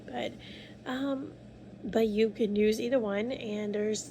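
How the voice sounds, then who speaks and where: Speaking quietly at a fairly slow pace, a woman uses a fairly high pitch. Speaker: vlogger. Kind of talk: casual vlog monologue. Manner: quiet, low volume; rambling, hesitant. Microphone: phone mic, no external mic.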